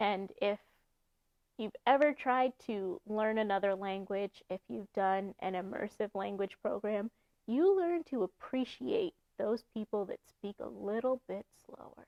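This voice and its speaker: Speaking at a fairly slow pace, a woman has a medium pitch. Her pitch varies in an ordinary way. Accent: American. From New York. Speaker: YouTuber giving speaking advice. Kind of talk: tutorial.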